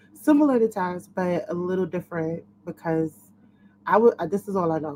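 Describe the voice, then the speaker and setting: Her tone dark and mellow, a woman speaks at a fairly low pitch with ordinary pitch variation. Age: 30s. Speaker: lifelong HIV survivor, panelist. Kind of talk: panel discussion on webinar.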